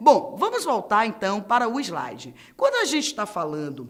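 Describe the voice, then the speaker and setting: Against audible room echo, a woman with a Bahian accent speaks in an animated tone. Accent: Bahian Brazilian Portuguese. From Bahia, Brazil. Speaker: teacher. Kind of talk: lecture.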